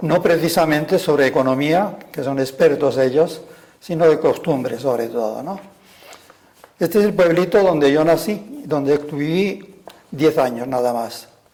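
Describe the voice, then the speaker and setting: Background noise is noticeable throughout. The speaker talks fairly slowly. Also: man, fairly high pitch for a man, ordinary pitch variation. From Spain, Castile (Burgos). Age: 80s+. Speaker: retired religious brother and school director. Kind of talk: personal testimony. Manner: halting.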